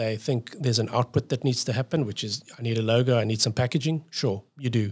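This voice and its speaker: A man's somewhat breathy voice at a fairly quick pace, fairly even in intonation, with a dry, close sound and no echo. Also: medium pitch for a man. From South Africa. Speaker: design agency owner. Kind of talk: podcast interview.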